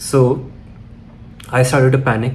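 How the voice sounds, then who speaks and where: A man's voice with audible room echo. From Chennai, India. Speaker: filmmaker. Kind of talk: personal storytelling vlog.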